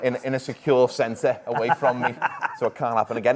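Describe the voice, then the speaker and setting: A man talks at a very fast pace. He has a Liverpool accent. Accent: Liverpool (Scouse). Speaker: football show presenter. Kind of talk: casual chat.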